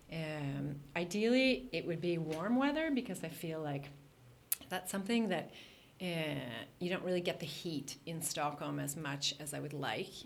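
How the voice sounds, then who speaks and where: With lively intonation and a fairly low pitch, a woman talks at a moderate pace amid audible room echo. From Canada, Toronto. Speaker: art and architecture entrepreneur. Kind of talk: podcast interview.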